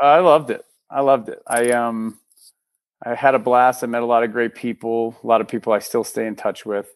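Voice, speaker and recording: Talking at a fairly quick pace over a quiet background, a man with an American accent uses a normal speaking voice at medium pitch. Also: fairly even intonation, dry, close sound with no echo. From US, Texas then Minnesota. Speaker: filmmaker and actor. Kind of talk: casual interview.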